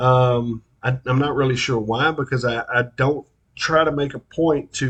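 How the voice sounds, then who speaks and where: In an East Texas accent, a man speaks at a medium pitch with fairly even intonation and a somewhat breathy voice. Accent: East Texas drawl. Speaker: local interviewer and commentator. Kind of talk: monologue. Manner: casual, halting with fillers.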